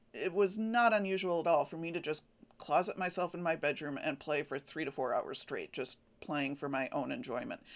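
In an ordinary speaking voice, a woman talks with lively intonation at a fairly low pitch. The recording is very clean, with a silent background. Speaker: quilting podcaster. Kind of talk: casual solo podcast monologue. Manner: chatty, informal, self-deprecating.

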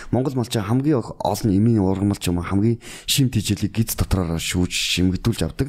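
With an ordinary speaking voice, a man talks at fairly low pitch and a moderate pace, with ordinary pitch variation and hardly any pauses. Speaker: bodybuilder and fitness coach. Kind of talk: podcast interview.

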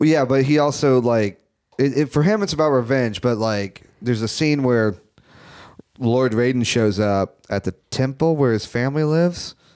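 This man has a plain, everyday voice, medium in pitch, delivered at a moderate pace with ordinary pitch variation and very even loudness. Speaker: podcast host. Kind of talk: casual banter.

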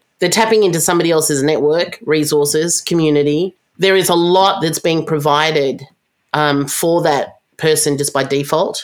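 With an Australian accent, a woman speaks at a moderate pace in a very deep, low pitch, her intonation fairly even and her loudness very even. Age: 50s. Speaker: tech company founder and CEO. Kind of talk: interview conversation.

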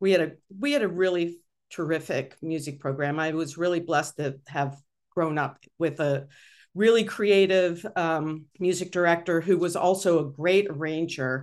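A woman with an ordinary speaking voice and an American accent speaks at a fairly low pitch and moderate pace with ordinary pitch variation over a quiet background. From US, Pittsburgh. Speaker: music technology professor. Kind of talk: interview conversation.

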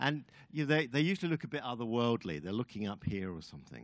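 With an English accent, a man talks at a fairly quick pace with very wide pitch swings, on a very clean recording with a silent background. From England. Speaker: guest preacher. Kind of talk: sermon.

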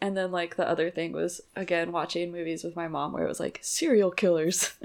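A woman's fairly low voice, a plain, everyday voice, fairly quick in pace with fairly even intonation. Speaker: podcast host. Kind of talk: casual chat.

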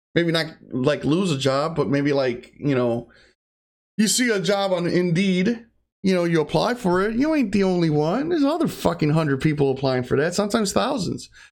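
A man's mumbling, high-pitched voice with lively intonation, very even loudness and a moderate pace, on a very clean recording with a silent background. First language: Spanish (bilingual). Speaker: podcaster and streamer. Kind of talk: casual solo monologue. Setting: home recording setup. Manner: mumbler.

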